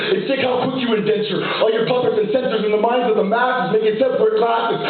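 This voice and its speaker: With music in the background, a man talks very fast in an extremely high pitch and an intense tone, keeping very even loudness and fairly even intonation. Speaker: spoken word poet. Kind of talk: live spoken word poetry performance. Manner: fast, intense, rhythmic.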